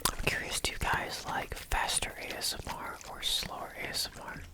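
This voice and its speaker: Someone whispers over noticeable background noise. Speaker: ASMR creator. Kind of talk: ASMR ramble. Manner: whispered; casual, rambling.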